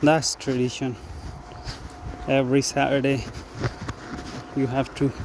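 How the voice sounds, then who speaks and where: Over noticeable background noise, a man with a medium pitch talks at a fairly slow pace in a monotone, flat intonation, with long, frequent pauses. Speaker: vlogger. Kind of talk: casual vlog monologue. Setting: outdoors, walking in forest. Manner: conversational, hesitant.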